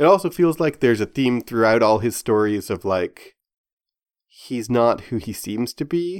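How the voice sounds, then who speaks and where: Recorded very cleanly against a silent background, with a dry, close sound and no echo, a man with an ordinary speaking voice talks at a moderate pace and medium pitch with lively intonation. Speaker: podcast host. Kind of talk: casual chat discussing a TV show.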